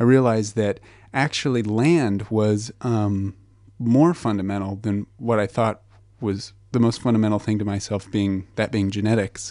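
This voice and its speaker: A man with a Southwestern US accent speaks at a fairly low pitch with a dark, mellow tone. The background is quiet. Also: fairly even intonation, moderate pace. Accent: American (Southwest). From New Mexico, US. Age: 20s. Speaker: foundation researcher. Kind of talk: radio interview.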